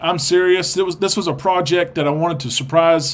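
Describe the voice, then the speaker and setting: Ordinary pitch variation runs through speech delivered rather briskly. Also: man. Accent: strong Arkansas. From Arkansas, US South. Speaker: livestream host of cruise show. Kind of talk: live stream chat reading viewer comments. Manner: casual, hesitant with many fillers.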